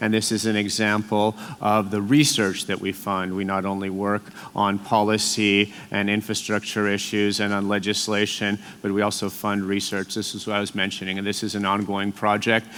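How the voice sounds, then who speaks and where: With noticeable background noise behind him, a man speaks at a moderate pace in a fairly low, monotone voice with flat intonation. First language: Latvian. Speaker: EU policy official. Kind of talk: conference speech. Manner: hesitant fillers.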